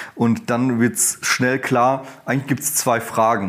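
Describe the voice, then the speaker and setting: Man's medium-pitched, unremarkable speaking voice at a moderate pace. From Germany, Ruhr area. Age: 30s. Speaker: professor and dean. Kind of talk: interview.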